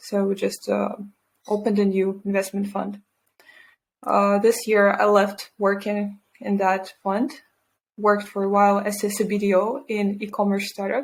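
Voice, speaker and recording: A woman speaks with a Russian accent at a medium pitch. Her intonation is flat and monotone, and her pace is moderate. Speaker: environmental scientist and entrepreneur. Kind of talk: interview.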